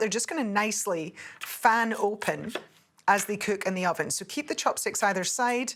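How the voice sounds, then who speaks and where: A woman speaks with lively intonation. Light background noise sits behind her. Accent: Scottish. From Scotland. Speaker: TV cook; presenter. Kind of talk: cooking tutorial. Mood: warm, cheerful. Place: studio. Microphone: lapel.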